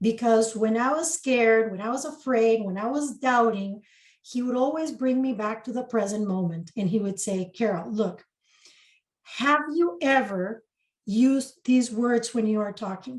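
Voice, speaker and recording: Somewhat breathy and fairly high-pitched, a woman with a Spanish accent speaks with ordinary pitch variation. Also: moderate pace. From Costa Rica. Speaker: spiritual mentor and channeler. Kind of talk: interview.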